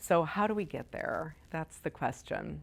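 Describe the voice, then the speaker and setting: In a very clean recording with a silent background, a woman with an American accent speaks in an animated tone at a fairly slow pace. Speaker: meditation teacher. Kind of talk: dharma talk to a class. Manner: loud; casual, animated.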